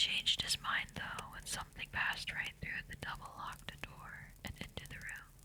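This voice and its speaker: Someone whispers at a moderate pace with hardly any pauses. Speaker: ASMR artist. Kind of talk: bedtime story reading. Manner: whispered.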